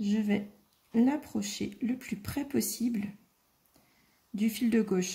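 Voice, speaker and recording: Soft-spoken, a woman talks at a very slow pace with long, frequent pauses, her fairly high pitch carrying vocal fry, a dark, mellow tone and fairly even intonation. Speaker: craft tutorial maker. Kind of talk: tutorial.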